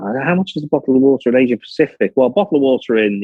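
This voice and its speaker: The man's pitch is medium, and he speaks very fast. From northern England, Liverpool. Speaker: business executive. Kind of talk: conference talk.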